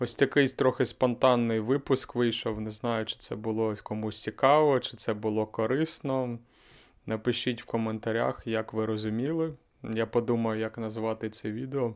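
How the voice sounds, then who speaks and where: A man's voice with fairly even intonation against a quiet background. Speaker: language teacher and podcaster; language teacher vlogger. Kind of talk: casual vlog monologue. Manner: slow; slightly monotone. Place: home room. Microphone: handheld.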